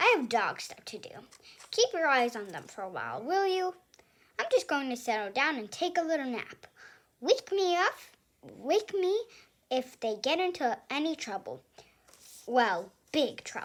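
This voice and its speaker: Putting on a character voice, a woman speaks at a moderate pace in a high pitch, with very wide pitch swings and long, frequent pauses. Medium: read story.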